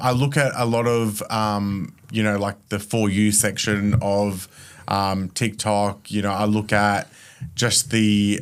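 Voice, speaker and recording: In a very clean recording with a silent background, a man speaks at a very slow pace with an Australian accent. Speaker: mortgage broker, business founder. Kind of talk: casual podcast interview. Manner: animated.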